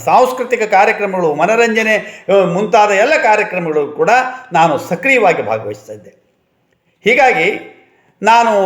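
A man's high voice shows big swings in loudness and ordinary pitch variation. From north Karnataka plains. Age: 70s. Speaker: retired college principal. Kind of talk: reminiscence monologue. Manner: formal.

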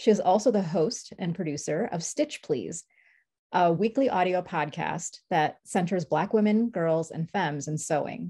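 A woman speaks at a moderate pace with a dark, mellow tone and a fairly low pitch. Her voice is somewhat breathy against a quiet background. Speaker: event host. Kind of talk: introducing speakers. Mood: warm, smiling. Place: home room. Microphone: webcam.

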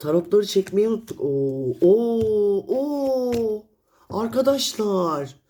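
The pace is very slow. The pitch swings very wide. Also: woman, fairly high pitch for a woman. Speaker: tarot reader. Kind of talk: tarot reading monologue. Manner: animated.

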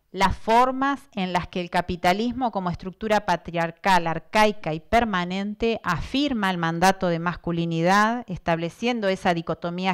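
Against a quiet background, a woman speaks at a fairly low pitch and a moderate pace with ordinary pitch variation. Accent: Buenos Aires. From Argentina, Buenos Aires province interior. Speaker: professor. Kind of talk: lecture. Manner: partly reading from notes. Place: hall. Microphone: handheld.

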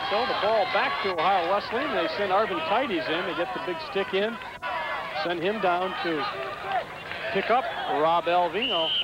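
Loud background noise and a dry sound with no echo. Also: moderate pace. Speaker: game commentator. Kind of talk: live sports commentary, color analysis.

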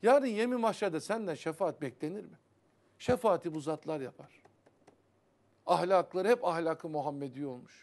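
A man speaks at a high pitch with lively intonation and big swings in loudness. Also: moderate pace. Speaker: Sufi religious teacher. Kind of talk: religious TV talk on Sufi poetry. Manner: animated. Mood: earnest, admonishing. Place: studio.

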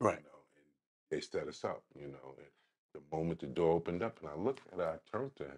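In a New York accent, a man talks at a very fast pace in a very deep, low pitch with vocal fry. His loudness swings widely, broken by long, frequent pauses. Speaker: podcast host. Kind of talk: interview. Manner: halting, many fillers.

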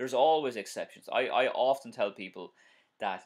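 A man with an Irish accent speaks over a quiet background. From Ireland. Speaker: driving instructor. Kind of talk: live-stream tutorial and viewer Q&A. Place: home room. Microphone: webcam.

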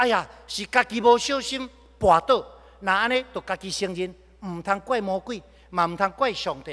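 A man with a high pitch and a bright, sharp tone talks at a moderate pace, with ordinary pitch variation and big swings in loudness. Long, frequent pauses break up his speech against a quiet background. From Taiwan. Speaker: pastor. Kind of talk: sermon. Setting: church. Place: church. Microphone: podium.

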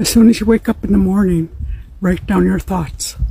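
With a dark, mellow tone and some vocal fry, a woman talks at a moderate pace and medium pitch, using ordinary pitch variation.

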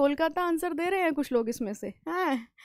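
This woman has a high pitch and ordinary pitch variation at a moderate pace. The sound is dry with no echo, and the background is quiet. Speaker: current affairs teacher; exam prep teacher. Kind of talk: live online class. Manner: halting, words get stuck; animated, conversational. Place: studio. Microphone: headset.

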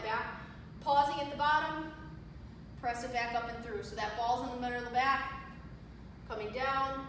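A high-pitched woman's voice amid strong room echo and noticeable background noise. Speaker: fitness trainer. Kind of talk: exercise tutorial. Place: gym. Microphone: camera far.

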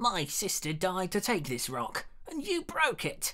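A man uses a put-on character voice, squeaky and high-pitched, at a fairly slow pace. The recording is very clean, with a silent background. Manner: indignant, shrill.

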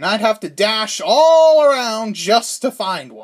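Over a silent background on a very clean recording, a man speaks at a fairly slow pace in a high pitch. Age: 20s. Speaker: YouTuber. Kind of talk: scripted narration.

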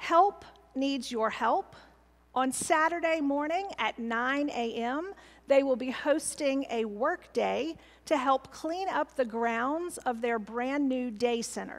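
Speaking very slowly, a woman with a high pitch shows ordinary pitch variation. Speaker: pastor. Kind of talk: church announcements. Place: church.

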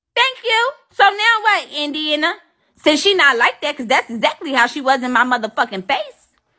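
A woman's raised, projected voice with very wide pitch swings, at a moderate pace against a quiet background. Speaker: live streamer. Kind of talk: casual live stream chat, telling a story to viewers. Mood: indignant, upset. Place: home room. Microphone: phone near.

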